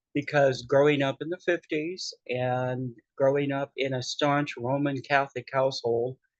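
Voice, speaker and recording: With a Pacific Northwest accent, the speaker talks fairly slowly in a monotone, flat intonation, the sound dry and close with no echo. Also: man. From US Pacific Northwest, western Washington. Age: 60s. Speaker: podcast host, drag performer. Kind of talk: casual personal storytelling.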